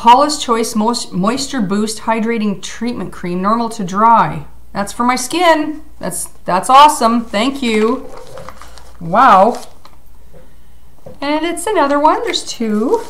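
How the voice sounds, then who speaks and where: Her intonation lively, a woman talks at a very slow pace with long, frequent pauses. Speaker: vlogger. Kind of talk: casual vlog chat. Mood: excited, grateful. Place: home room. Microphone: webcam.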